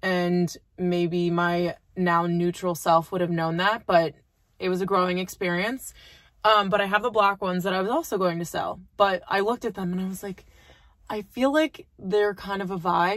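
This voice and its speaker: A woman at a moderate pace, her intonation fairly even, in a dry, echo-free recording against a quiet background. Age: 20s. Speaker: lifestyle vlogger. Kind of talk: casual vlog chat. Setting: in a car. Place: car. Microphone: phone near.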